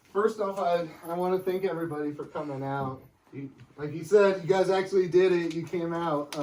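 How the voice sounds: A man puts on a shaky character voice with a high pitch. He talks fairly quickly with fairly even intonation.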